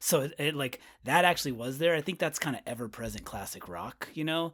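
On a very clean recording with a silent background, a man with an American accent talks at a fairly quick pace with vocal fry. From Winters, California (near Sacramento). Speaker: podcast host, guest. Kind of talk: casual chat.

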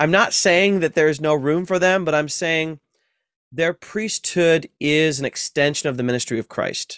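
With an American accent, a man with a fairly high pitch speaks at a moderate pace with ordinary pitch variation, in a very clean recording with a silent background and a dry, close sound with no echo. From US Midwest, Ohio. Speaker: professor of New Testament. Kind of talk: interview conversation.

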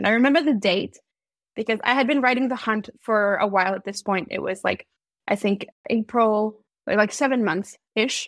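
In a very clean recording with a silent background and a dry, close sound with no echo, a woman uses an ordinary speaking voice with a fairly high pitch, ordinary pitch variation and a moderate pace. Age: 20s. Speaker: fanfiction writer. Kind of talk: casual interview chat.

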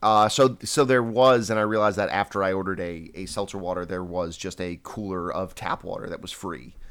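A man with an American accent and an unremarkable speaking voice, fairly low pitch, ordinary pitch variation and big swings in loudness, on a very clean recording with a silent background. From Long Island, New York. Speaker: podcast co-host. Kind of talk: casual chat.

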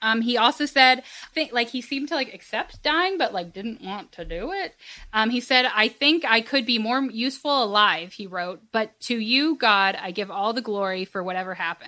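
Speaking at a moderate pace, a woman with an American accent has a fairly high pitch and a bright, sharp tone. Her intonation is lively. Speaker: podcast host. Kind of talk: casual chat.

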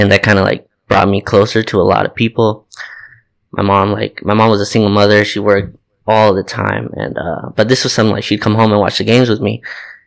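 A man with an American accent, fairly low pitch, very fast pace and monotone, flat intonation, on a very clean recording with a silent background. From Torrance, Los Angeles area, California. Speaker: basketball podcast co-host. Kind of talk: casual chat.

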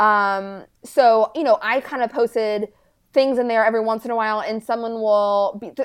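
This woman has a normal speaking voice at a fairly high pitch, with ordinary pitch variation. She talks at a moderate pace against a quiet background. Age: 20s. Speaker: aspiring local politician. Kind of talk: interview.

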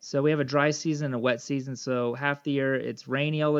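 A man with a plain, everyday voice talks at a fairly quick pace and fairly high pitch, his intonation fairly even and the sound dry and close with no echo. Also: quiet background. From United States. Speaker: missionary bush pilot. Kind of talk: interview.

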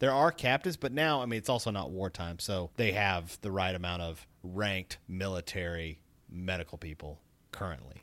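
In a very clean recording with a silent background, a normal speaking voice with an American accent moves at a moderate pace with ordinary pitch variation. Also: man. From US South, Tennessee. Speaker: podcaster. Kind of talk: casual chat.

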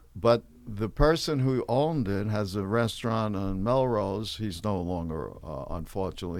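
Speaking at a fairly slow pace, a man uses a fairly low pitch. He has a New York accent. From New York City. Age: 70s. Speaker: stand-up comedian. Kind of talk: casual interview chat with anecdotes.

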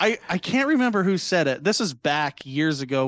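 A man with a plain, everyday voice talks at a moderate pace with lively intonation, in a dry, close sound with no echo on a very clean recording with a silent background. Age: 30s. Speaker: streamer and podcast guest. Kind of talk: casual chat.

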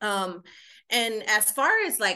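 Against a quiet background, a woman talks at a medium pitch in a bright, sharp tone. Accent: Chicago. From Chicago, Puerto Rican community. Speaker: ministry founder. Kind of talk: casual chat.

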